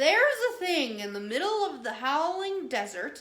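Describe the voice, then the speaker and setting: A woman's put-on character voice, high-pitched, at a moderate pace, with very wide pitch swings. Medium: read story.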